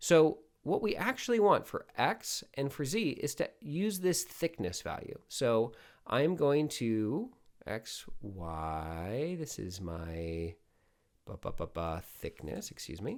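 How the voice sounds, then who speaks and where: Very slowly, a man talks on a very clean recording with a silent background. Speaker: product manager for 3D software. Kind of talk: software tutorial narration. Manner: gently paced, casual.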